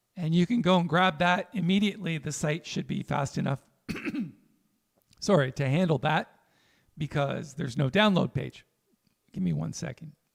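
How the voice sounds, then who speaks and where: Pausing long and often, a man speaks at a fairly high pitch with vocal fry and ordinary pitch variation. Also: moderate pace. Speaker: jazz pianist and teacher. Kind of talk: livestream tutorial. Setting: livestream. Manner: casual, conversational.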